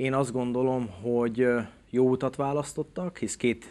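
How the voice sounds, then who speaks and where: The pace is fairly slow as a man speaks. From Hungary. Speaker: former national carriage driving team captain. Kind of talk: interview. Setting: studio. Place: studio.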